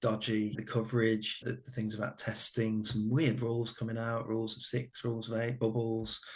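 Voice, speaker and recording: Somewhat breathy and fairly quick, a man speaks at a medium pitch with a Birmingham accent. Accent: Birmingham (Brummie). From English Midlands, Birmingham. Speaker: former family doctor. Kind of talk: podcast interview.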